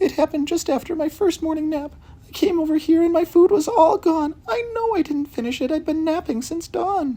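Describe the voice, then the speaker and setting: At a fairly quick pace, a high-pitched, put-on character voice carries the lines. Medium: read story. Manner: excitable.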